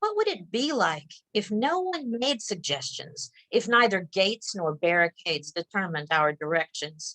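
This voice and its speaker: With a bright, sharp tone and a dry, close sound with no echo, a woman at medium pitch swings her pitch very widely, keeping a moderate pace and hardly any pauses. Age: 60s. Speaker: poet and middle school teacher. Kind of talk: poetry reading. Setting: video call.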